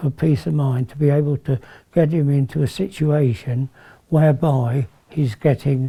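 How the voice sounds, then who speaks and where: The voice has a dark, mellow tone and is somewhat breathy. It moves at a fairly slow pace with ordinary pitch variation. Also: man. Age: 70s. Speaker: family carer. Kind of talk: interview testimony.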